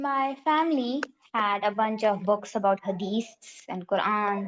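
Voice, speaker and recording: A woman talks with a Pakistani accent. Her pitch is fairly high. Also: ordinary pitch variation, fairly slow pace. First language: Urdu. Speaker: class participant. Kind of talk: personal testimony in group discussion.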